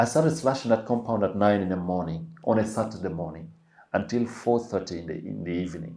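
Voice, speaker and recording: A man with a Ugandan accent, fairly low-pitched with a dark, mellow tone, very fast pace and lively intonation. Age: 30s. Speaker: podcast guest sharing life story. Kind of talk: interview testimony.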